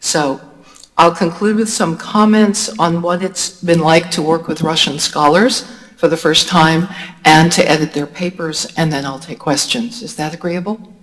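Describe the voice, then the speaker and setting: A woman speaks in a plain, everyday voice at a fairly low pitch with an American accent. Her pace is moderate. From United States. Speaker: academic writing lecturer. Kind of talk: lecture. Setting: university lecture hall with audience.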